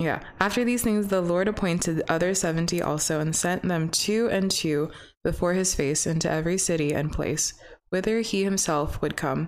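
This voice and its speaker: A woman speaks at a moderate pace with a fairly low pitch, ordinary pitch variation and a Pacific Northwest accent. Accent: Pacific Northwest American. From US Pacific Northwest. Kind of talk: casual chat. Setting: recording studio with mics.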